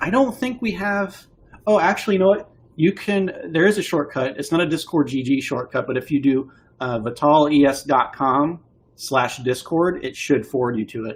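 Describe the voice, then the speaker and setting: Lively intonation marks a normal speaking voice moving at a moderate pace. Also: man. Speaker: game publisher streaming to backers. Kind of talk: live stream talk.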